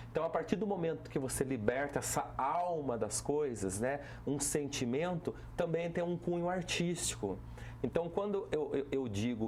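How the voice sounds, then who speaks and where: A man speaks at a fairly slow pace in a Vale do Paraíba accent. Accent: caipira Taubaté accent, criticized for it. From Brazil, Taubaté (São Paulo interior). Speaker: municipal culture and tourism secretary. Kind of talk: TV talk show interview. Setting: TV studio.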